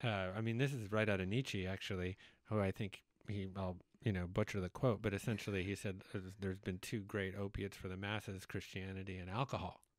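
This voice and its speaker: An unremarkable speaking voice from a man, fairly low in pitch, fairly quick in pace and fairly even in intonation, with a quiet background and a dry sound with no echo. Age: 40s. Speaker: podcast host. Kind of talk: interview conversation. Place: studio. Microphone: studio mic.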